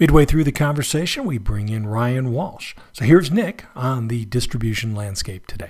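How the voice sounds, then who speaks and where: With lively intonation, a man speaks at a moderate pace in a somewhat breathy voice. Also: medium pitch for a man. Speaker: podcast host. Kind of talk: podcast intro and interview.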